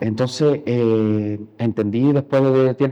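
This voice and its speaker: Here a man talks at a medium pitch with ordinary pitch variation. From Cuba. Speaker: painter. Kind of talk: interview. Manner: halting.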